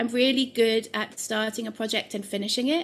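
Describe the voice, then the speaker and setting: Fairly high female voice with a British accent at a fairly quick pace, on a very clean recording with a silent background. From UK. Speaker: collage artist. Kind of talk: casual interview.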